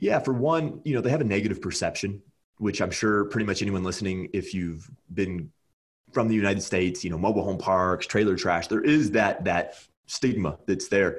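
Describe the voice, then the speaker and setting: Delivered at a fairly quick pace, this is an ordinary speaking voice with ordinary pitch variation. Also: man, fairly low pitch for a man. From California. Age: 20s. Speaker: real estate investor. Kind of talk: casual chat. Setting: video call.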